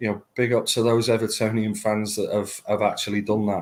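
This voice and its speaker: A man with a medium pitch speaks at a moderate pace. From Manchester, northern England. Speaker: football fan guest. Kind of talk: casual chat. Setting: live online show.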